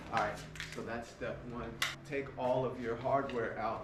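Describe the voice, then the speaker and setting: The delivery is monotone, with flat intonation, at a moderate pace. Audible room echo and noticeable background noise are present. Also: man. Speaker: handyman. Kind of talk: tutorial. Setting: indoors in a customer's home. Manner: casual, filler-heavy.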